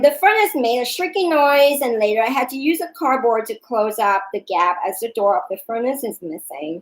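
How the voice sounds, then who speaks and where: A woman with a high pitch talks at a moderate pace with hardly any pauses, her pitch swinging very widely and her loudness shifting greatly. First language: not English. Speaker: yoga instructor and vlogger. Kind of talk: personal storytelling vlog. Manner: hesitant.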